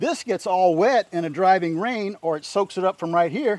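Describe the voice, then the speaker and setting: A man at a moderate pace with ordinary pitch variation, dry echo-free sound and loud background noise. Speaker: builder host. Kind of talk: tutorial. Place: open country.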